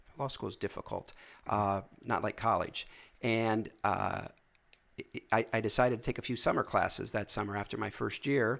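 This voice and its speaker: A man at a medium pitch with an American accent, vocal fry, and long, frequent pauses. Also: very clean recording, silent background. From US Midwest, Massillon, Northeast Ohio. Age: 60s. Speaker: magistrate and judicial candidate. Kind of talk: interview. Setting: live stream show. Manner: fast.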